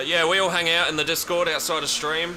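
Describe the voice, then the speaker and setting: With an Australian accent, a man talks at a fairly quick pace amid noticeable background noise and audible room echo. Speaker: gaming streamer. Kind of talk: live gameplay stream chat. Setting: home stream room. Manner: casual, conversational.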